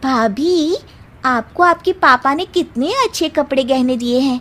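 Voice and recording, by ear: In a cartoonish character voice, a woman speaks at a high pitch and a fairly slow pace.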